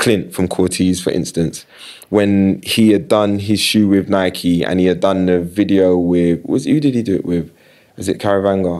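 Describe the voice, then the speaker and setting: Over a quiet background, a man with a very deep, low voice and a dark, mellow tone speaks at a moderate pace with ordinary pitch variation. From South London, Battersea. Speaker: creative director and sports marketing agency founder. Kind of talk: casual interview chat. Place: studio. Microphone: studio mic.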